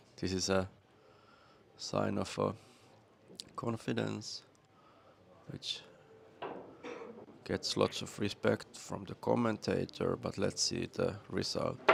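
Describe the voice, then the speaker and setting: A man with a Finnish accent at a very slow pace, over noticeable background noise. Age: 50s. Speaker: pool commentator and player. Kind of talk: live commentary.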